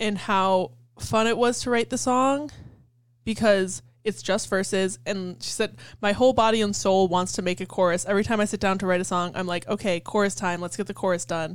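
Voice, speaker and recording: A woman with a normal speaking voice talks fairly quickly at a medium pitch. Her pitch variation is ordinary, and the recording is very clean with a silent background. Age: 20s. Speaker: podcast co-host. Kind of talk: casual chat.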